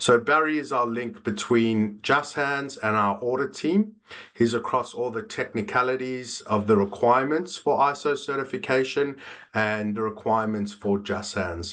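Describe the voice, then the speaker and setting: With a South African accent, a man speaks at a moderate pace and medium pitch. His pitch variation is ordinary. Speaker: business development manager. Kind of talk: webinar presentation. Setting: online webinar. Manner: frequent filler 'uh'.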